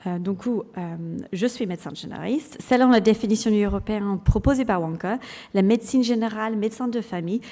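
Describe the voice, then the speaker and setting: A woman with an English accent speaks at a fairly quick pace, her fairly high pitch carrying a dark, mellow tone and ordinary pitch variation. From England. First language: English (speaking French). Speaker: general practitioner and clinical lecturer. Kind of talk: conference talk. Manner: halting, many hesitations.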